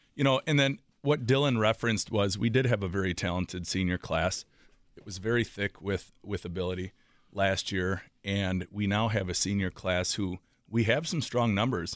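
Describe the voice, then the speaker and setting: A man speaks in an unremarkable speaking voice, fairly low in pitch with ordinary variation, at a moderate pace. The sound is dry and close with no echo, on a very clean recording with a silent background. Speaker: high school football coach. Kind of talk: radio interview. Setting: studio.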